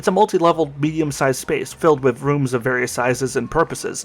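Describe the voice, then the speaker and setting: The speech goes at a very fast pace over noticeable background noise. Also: man. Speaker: game reviewer. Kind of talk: scripted video review narration. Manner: not very animated.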